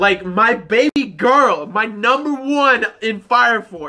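A man speaks in a raised, projected voice. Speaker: anime reviewer. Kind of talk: casual vlog chat. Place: home room. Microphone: phone near.

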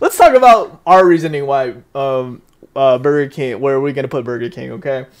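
Over a quiet background, a man talks at a fairly quick pace with ordinary pitch variation and big swings in loudness. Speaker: streamer, podcast host. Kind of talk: casual livestream chat. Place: home room.

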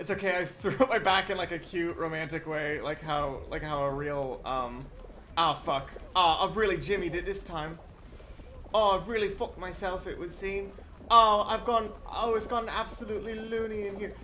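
A man speaks in a raised, projected voice at a moderate pace. Light background noise can be heard. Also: ordinary pitch variation. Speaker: game streamer. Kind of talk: casual gameplay commentary. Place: home room.

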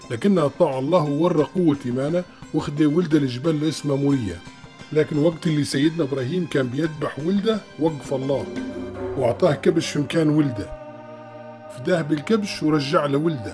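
Over music in the background, a man speaks at a moderate pace with a fairly high pitch and ordinary pitch variation. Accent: Tripolitanian. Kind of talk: religious story narration.

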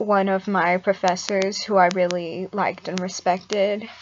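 A woman speaks at a fairly slow pace in monotone, flat intonation. Light background noise sits behind her. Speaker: mental health vlogger. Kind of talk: casual vlog chat. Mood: serious, reflective, subdued. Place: home room. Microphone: webcam.

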